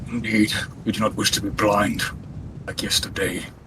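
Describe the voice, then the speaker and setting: Against clear background noise, a man uses a put-on character voice at medium pitch and a moderate pace. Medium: game stream. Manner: formal, deadpan, clipped.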